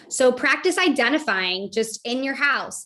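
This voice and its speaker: A woman speaks in a raised, projected voice with a high pitch. Her tone is bright and sharp, and her pitch swings very widely. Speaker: behavior analyst leading a parent workshop. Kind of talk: lecture. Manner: fast.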